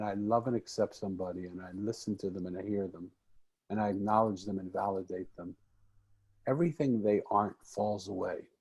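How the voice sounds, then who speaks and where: A man with an American accent and an unremarkable speaking voice talks at a fairly quick pace in a fairly low pitch. His pitch variation is ordinary, with big swings in loudness. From Philadelphia, US. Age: 60s. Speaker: author and podcaster. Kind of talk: podcast interview.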